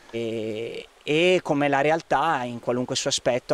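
A man's medium-pitched voice at a fairly slow pace, with a dry sound and no echo. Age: 30s. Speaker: resident of a repopulated village, community project organiser. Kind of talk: interview; interview answer. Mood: calm, thoughtful. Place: garden. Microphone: handheld.

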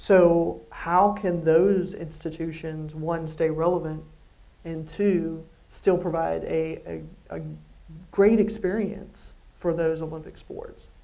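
At a very slow pace, a woman speaks in a fairly low pitch with a dark, mellow tone and vocal fry. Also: fairly even intonation. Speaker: athletics director; interviewer, event moderator. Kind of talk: interview on stage. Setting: stage with audience. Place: hall.

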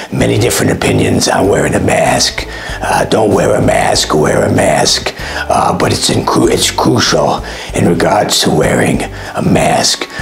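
A man does a put-on character voice, hoarse and at a moderate pace, with clear background noise behind him. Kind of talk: comic parody of press briefing. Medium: comedy sketch. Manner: rambling, repetitive, hesitant.

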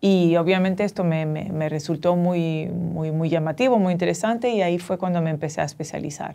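A woman's fairly low, dark, mellow voice at a fairly quick pace, with hardly any pauses, ordinary pitch variation and a quiet background. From Dominican Republic and Tunisia. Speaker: professor of social entrepreneurship; guest. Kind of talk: interview. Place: studio.

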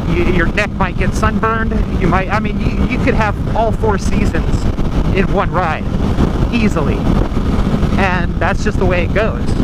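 Loud background noise accompanies speech at a moderate pace with long, frequent pauses, in a dry sound with no echo. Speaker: motorcycle rider vlogger. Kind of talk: casual vlog chat. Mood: relaxed, amused. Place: motorbike. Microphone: helmet.

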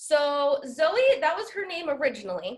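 Against a quiet background, a woman talks in a high voice with very wide pitch swings. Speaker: school staff member; interview guest. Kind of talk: casual chat. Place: home room. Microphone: video call.

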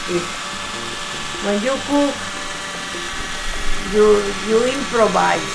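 Clear music plays in the background while a woman speaks at a fairly slow pace. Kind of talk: casual cooking tutorial. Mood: relaxed, warm, laughing. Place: kitchen.

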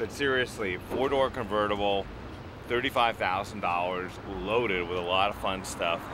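Noticeable background noise sits under a man's fairly low voice, which has ordinary pitch variation and a dry sound with no echo. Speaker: car reviewer. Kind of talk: review commentary. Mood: jokey, upbeat. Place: car.

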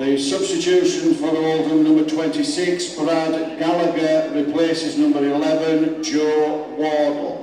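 A man talks at a very slow pace with hardly any pauses. His loudness is very even, with noticeable background noise. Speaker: stadium announcer. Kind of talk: PA announcements. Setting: PA system.

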